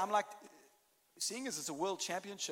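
Fairly quick speech in a South African accent. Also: man. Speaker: pastor. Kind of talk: sermon. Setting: church stage with audience.

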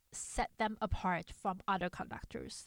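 Very slowly, a woman speaks with a non-native accent. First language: not English. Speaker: podcast host for conductors. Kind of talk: solo podcast monologue. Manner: hesitant, with fillers.

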